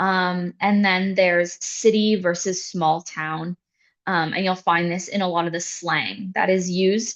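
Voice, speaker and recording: Here a woman has a normal speaking voice with a Canadian accent, a medium pitch, fairly even intonation and a fairly slow pace. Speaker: international student services staff. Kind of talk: information session presentation.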